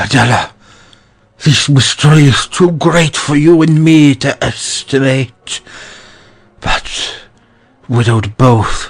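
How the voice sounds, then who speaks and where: Putting on a character voice, a man with a fairly high pitch speaks at a fairly slow pace, leaving long, frequent pauses. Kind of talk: verse comedy stage acting. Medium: audio drama. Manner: blustering, hot-tempered.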